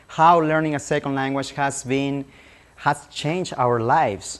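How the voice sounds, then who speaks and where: Someone speaks at a fairly slow pace with a Spanish accent. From Peru (Lima). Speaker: language teacher. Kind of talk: public presentation.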